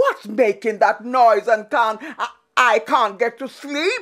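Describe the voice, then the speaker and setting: This is a woman using a put-on character voice with a fairly high pitch. She speaks at a fairly slow pace. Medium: read story. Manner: blustering, stammering.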